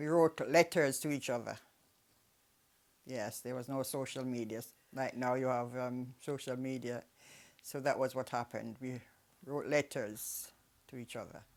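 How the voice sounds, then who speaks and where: A woman with a very deep, low pitch speaks at a moderate pace, leaving long, frequent pauses. The recording is very clean with a silent background. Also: fairly even intonation. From Jamaica. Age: 80s+. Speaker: elderly migrant telling her life story. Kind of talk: oral history interview. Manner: halting, with hesitations.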